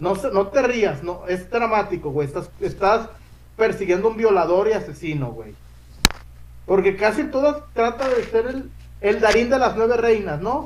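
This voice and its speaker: A man's high-pitched voice, fairly slow pace and lively intonation. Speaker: sports podcast host. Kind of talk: casual chat. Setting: live stream.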